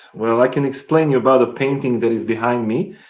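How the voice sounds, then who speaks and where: Fairly even intonation from a man speaking at a medium pitch. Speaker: painter. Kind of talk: interview. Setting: video call. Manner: halting, many fillers.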